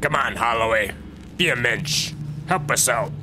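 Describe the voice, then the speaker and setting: Amid loud background noise, a man with a fairly high voice speaks at a moderate pace. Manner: jovial, smarmy.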